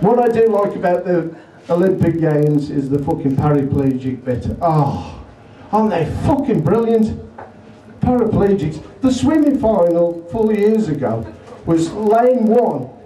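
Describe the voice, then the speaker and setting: Very wide pitch swings from a man, with audible room echo and light background noise. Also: fairly slow pace. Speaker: comedian. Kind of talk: stand-up comedy routine. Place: bar.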